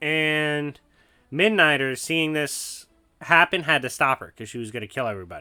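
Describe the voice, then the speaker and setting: Music plays in the background while the speaker talks at a moderate pace with ordinary pitch variation. The tone is animated, and the loudness swings widely. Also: man, fairly high pitch for a man. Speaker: comics commentary YouTuber. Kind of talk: casual commentary. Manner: stutter.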